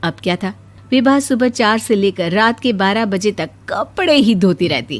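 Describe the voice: Lively in intonation, a woman at a medium pitch talks at a fairly slow pace.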